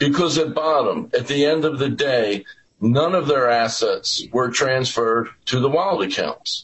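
A man's normal speaking voice, fairly high in pitch, at a fairly slow pace with very even loudness. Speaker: lawyer for wallet holders. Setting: remote video appearance.

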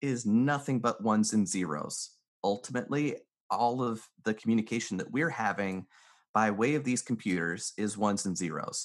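Lively intonation marks this ordinary speaking voice, delivered at a moderate pace in an American accent. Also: man. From US South, North Carolina mountains. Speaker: mentalist and business consultant. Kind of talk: interview conversation.

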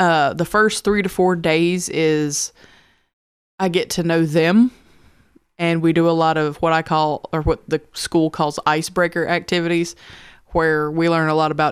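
A woman's fairly low voice in a Southern US accent, at a moderate pace, on a very clean recording with a silent background. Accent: Southern twang. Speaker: high school history teacher. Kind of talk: casual chat.

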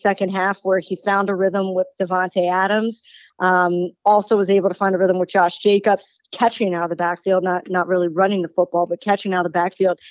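A woman with an American accent at a fairly quick pace, monotone, flat intonation and hardly any pauses. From Baltimore, Maryland, US. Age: 40s. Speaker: sports radio host and former baseball reporter. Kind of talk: sports talk radio interview.

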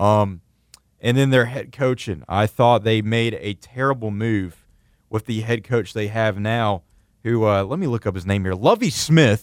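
On a very clean recording with a silent background and a dry, close sound with no echo, a man uses an ordinary speaking voice at a medium pitch, with ordinary pitch variation and a fairly slow pace. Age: 20s. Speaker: sports radio host. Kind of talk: sports talk radio.

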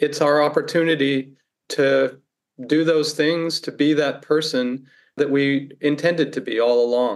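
A man with an American accent talks fairly slowly in a plain, everyday voice with ordinary pitch variation. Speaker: philosophy professor. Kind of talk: interview. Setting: remote call from home.

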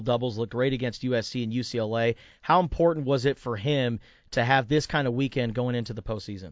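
Fairly even intonation and a medium pitch mark this man's delivery, given in an unremarkable speaking voice. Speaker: sports radio host. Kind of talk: casual sports talk radio. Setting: radio studio.

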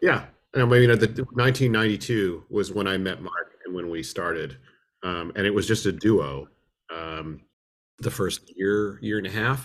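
This man has an American accent and a fairly low pitch. He keeps a moderate pace with ordinary pitch variation. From US West Coast, Berkeley, California. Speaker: musician and film restorer. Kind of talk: interview. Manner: halting, many repetitions.

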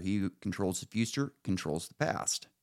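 A man with an American accent speaks with vocal fry and very wide pitch swings. The recording is very clean, with a silent background. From Northern California. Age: 30s. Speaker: podcast host. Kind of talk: casual political chat.

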